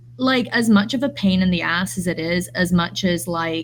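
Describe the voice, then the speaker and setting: This woman's somewhat breathy voice moves at a fairly slow pace with very wide pitch swings. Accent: English. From English Midlands, raised in US. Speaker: artist and early childhood educator. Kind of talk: podcast conversation.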